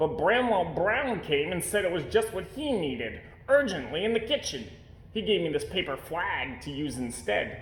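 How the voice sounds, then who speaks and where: Doing a put-on character voice, a man speaks high for a man at a moderate pace, with clear background noise behind him. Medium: read story. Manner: sighing.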